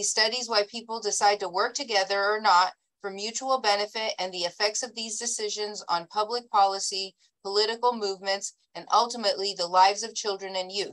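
A woman speaks at a fairly quick pace in a monotone, flat intonation over a quiet background. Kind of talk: reading a bio statement in a meeting. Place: home room. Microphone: video call.

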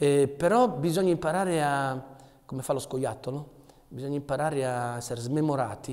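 A man's fairly high voice at a moderate pace, with ordinary pitch variation and a quiet background. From Potenza, southern Italy; moved to Asti at 13. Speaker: theatre actor, poet and artist. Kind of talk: interview answer. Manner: poetic, emotional. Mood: thoughtful, warm. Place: workshop.

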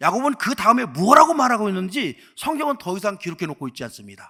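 A man speaks in a high, raised, projected voice at a fairly quick pace. His pitch swings very widely. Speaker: pastor. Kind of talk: sermon.

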